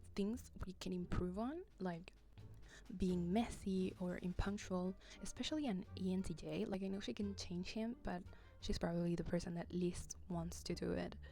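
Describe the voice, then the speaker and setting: A woman speaks quietly and breathily at a moderate pace. Music plays in the background. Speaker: video essay host. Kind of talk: casual video essay narration.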